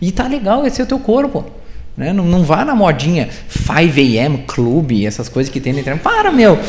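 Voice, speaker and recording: With audible room echo and noticeable background noise, a man speaks at a moderate pace in a high pitch that makes very wide swings. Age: 30s. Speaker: startup founder and CEO. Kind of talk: live interview on stage.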